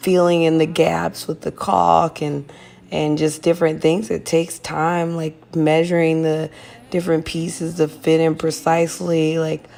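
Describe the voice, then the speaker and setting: A woman speaks at a fairly low pitch with a dark, mellow tone. Her intonation is monotone and flat. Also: fairly slow pace. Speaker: lifestyle vlogger. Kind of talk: casual voiceover chat.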